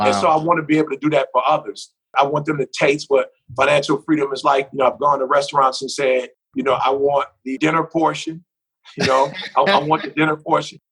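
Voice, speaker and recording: This man has a plain, everyday voice. His pitch is fairly high and his intonation fairly even. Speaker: motivational speaker. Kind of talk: podcast interview answer.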